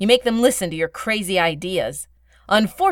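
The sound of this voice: An unforced voice for reading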